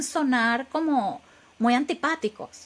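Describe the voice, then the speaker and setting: A woman with a Venezuelan accent speaks at a high pitch. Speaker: software engineer and AI expert. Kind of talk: interview. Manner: halting, many repetitions.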